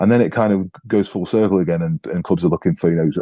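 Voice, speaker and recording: A man's voice, dark and mellow in tone, with fairly even intonation and a dry, close sound with no echo. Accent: English. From England. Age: 30s. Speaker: professional rugby player. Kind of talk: casual interview.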